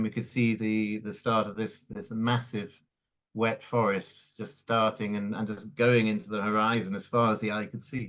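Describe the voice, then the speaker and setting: Speaking in a Welsh accent, a man keeps a monotone, flat intonation at a medium pitch and moderate pace. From Wales (Cardiff, raised in North Wales). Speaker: conservationist. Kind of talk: interview. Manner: halting, repeats words.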